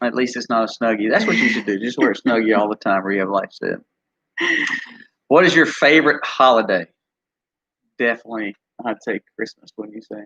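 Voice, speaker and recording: A man with a Mississippi accent, a bright, sharp tone, ordinary pitch variation, a fairly quick pace and long, frequent pauses, in a dry, close sound with no echo. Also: medium pitch for a man. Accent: Southern US (Mississippi). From US South. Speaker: homesteader, channel co-host. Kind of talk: casual live-stream chat.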